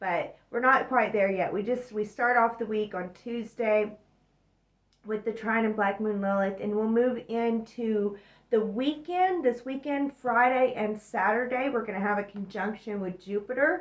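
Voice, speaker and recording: A woman with a fairly high pitch talks in a normal speaking voice with ordinary pitch variation. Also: fairly slow pace. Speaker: astrology and tarot reader. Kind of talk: weekly astrology forecast monologue.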